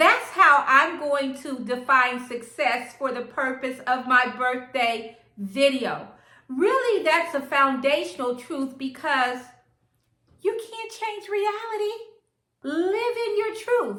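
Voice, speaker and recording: A woman with a high pitch and a bright, sharp tone projects a raised voice very slowly, her pitch swinging very widely amid audible room echo. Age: 60s. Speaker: lifestyle vlogger. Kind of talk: casual vlog talk to camera.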